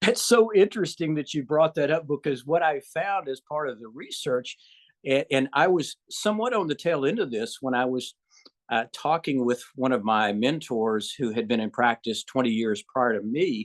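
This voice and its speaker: A man with a Southern US accent, fairly high pitch and moderate pace, in a dry, close sound with no echo and a quiet background. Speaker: gynecologist. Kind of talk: interview. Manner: hesitant, with many fillers.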